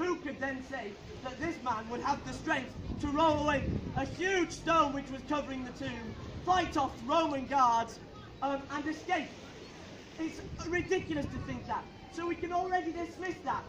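A man speaks in a passionate tone at an extremely high pitch, with ordinary pitch variation and a moderate pace. Long, frequent pauses break up his speech amid noticeable background noise. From United Kingdom. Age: young. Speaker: street preacher. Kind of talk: open-air street sermon. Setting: outdoors. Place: street. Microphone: camera far.

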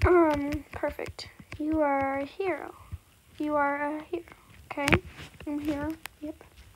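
A woman speaks with a high pitch and monotone, flat intonation at a fairly slow pace. She leaves long, frequent pauses, and there is noticeable background noise. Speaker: gaming YouTuber. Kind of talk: gameplay commentary.

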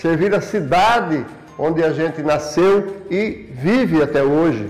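High-pitched male speech at a fairly slow pace with ordinary pitch variation. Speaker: local politician. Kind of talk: interview answer. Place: office.

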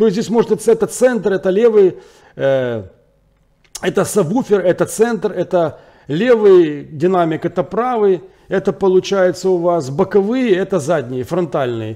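Speaking at a fairly slow pace, a man with a dark, mellow tone and a high pitch for a man uses lively intonation. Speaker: tech product reviewer. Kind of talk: product review. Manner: halting, many filler words.

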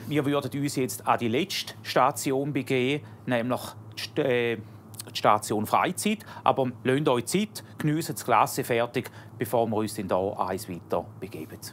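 A medium-pitched man talks at a fairly slow pace in an ordinary speaking voice with ordinary pitch variation. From Hauptwil, Thurgau, Switzerland. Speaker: software developer and amateur musician. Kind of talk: host addressing guests on a TV show.

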